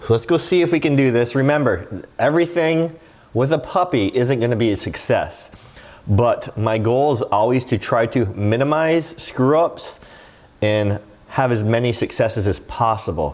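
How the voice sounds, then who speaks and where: A man talks at a moderate pace in a medium pitch, his intonation lively and his loudness very even, with noticeable background noise behind him. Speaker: dog trainer and dog vlogger. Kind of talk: casual vlog with training tips. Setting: at home, indoors and backyard. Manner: animated, upbeat.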